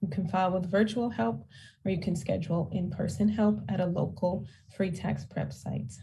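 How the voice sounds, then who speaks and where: Audible room echo surrounds a woman whose fairly low, dark, mellow voice carries vocal fry and lively intonation at a moderate pace. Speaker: tax credit outreach presenter. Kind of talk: town hall presentation. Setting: town hall.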